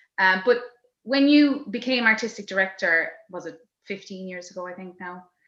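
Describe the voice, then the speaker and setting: A woman of medium pitch talks at a moderate pace in a bright, sharp tone, with ordinary pitch variation and big swings in loudness. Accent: Irish. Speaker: podcast host, theatre director and performer. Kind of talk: casual interview chat. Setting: video call.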